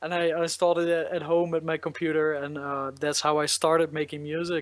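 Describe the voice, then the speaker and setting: This man's voice sits fairly high. He talks at a moderate pace. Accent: Dutch. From Netherlands, south near Eindhoven. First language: Dutch. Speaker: electronic musician. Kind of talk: interview. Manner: hesitant, many fillers.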